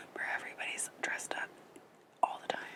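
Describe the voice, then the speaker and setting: Someone whispers over noticeable background noise. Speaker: ASMR creator. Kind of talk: ASMR whispered magazine flip-through. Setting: ocean waves noise in background. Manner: whispered.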